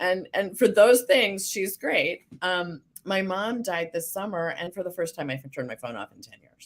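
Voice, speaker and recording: Speaking at a moderate pace, a woman uses a fairly low pitch with vocal fry. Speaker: business coach. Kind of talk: casual chat.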